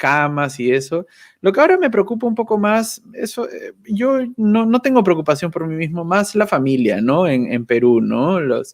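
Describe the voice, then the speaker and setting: Against a quiet background, a man speaks at a fairly slow pace with very wide pitch swings. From Peru, Lima. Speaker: YouTuber, communications professional. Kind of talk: casual interview chat. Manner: halting, with fillers and repetitions.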